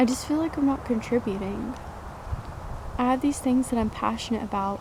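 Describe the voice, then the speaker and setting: A woman with a high voice speaks at a fairly quick pace with ordinary pitch variation and very even loudness, over noticeable background noise. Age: 20s. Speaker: vlogger. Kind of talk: personal vlog monologue.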